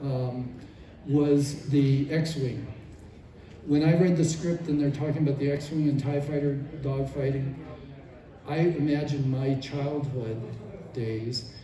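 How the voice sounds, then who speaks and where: Fairly high, monotone, flat male speech with long, frequent pauses, audible room echo and noticeable background noise. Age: 70s. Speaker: former toy designer. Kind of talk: convention panel Q&A. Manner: halting.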